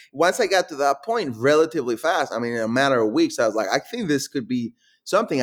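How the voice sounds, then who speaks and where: On a very clean recording with a silent background, a man with a Mexican accent speaks at a very fast pace. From Guadalajara, Mexico. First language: Spanish. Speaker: startup founder. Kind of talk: interview.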